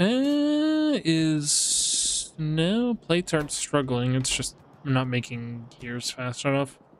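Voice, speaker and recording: This man speaks very slowly, barely pausing, at a fairly high pitch with lively intonation. Background noise is noticeable. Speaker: gaming streamer. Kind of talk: casual livestream gameplay commentary. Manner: animated.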